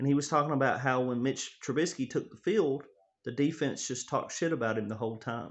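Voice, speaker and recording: Speaking with a Tennessee accent, a man keeps a fairly quick pace. His medium-pitched voice shows ordinary pitch variation. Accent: Southern US (Tennessee). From Tennessee, US South. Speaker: sports fan vlogger. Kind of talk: casual monologue. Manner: animated.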